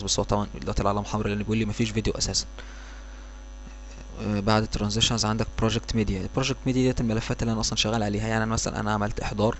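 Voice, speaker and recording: A man talks at a very fast pace. He has an Egyptian accent. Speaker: software tutorial instructor. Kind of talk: tutorial. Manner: hesitant, many fillers.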